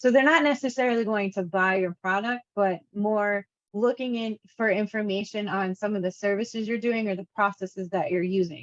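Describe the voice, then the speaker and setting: With an unremarkable speaking voice, a woman talks at a moderate pace and medium pitch, using ordinary pitch variation and hardly any pauses, in a dry, close sound with no echo. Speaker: course instructor. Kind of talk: lecture.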